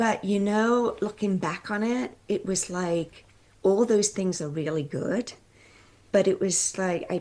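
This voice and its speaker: Dark and mellow in tone, a woman's voice unfolds at a fairly slow pace. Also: medium pitch for a woman, ordinary pitch variation. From North East England. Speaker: coach, former medical researcher, podcast host. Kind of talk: interview answer.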